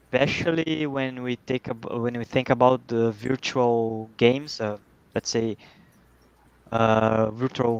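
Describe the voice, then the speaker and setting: Over noticeable background noise, a man speaks very slowly at medium pitch with fairly even intonation. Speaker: podcast co-host. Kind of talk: interview.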